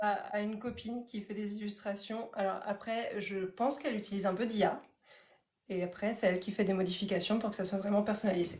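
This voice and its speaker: A woman of medium pitch talks at a fairly quick pace. Her intonation is monotone and flat. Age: 30s. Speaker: author. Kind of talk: casual chat. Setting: livestream. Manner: fast.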